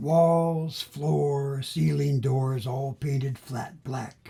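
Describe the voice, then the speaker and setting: A man's voice at a medium pitch. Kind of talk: poetry reading. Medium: solo performance. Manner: rhythmic, savoring sound and wordplay.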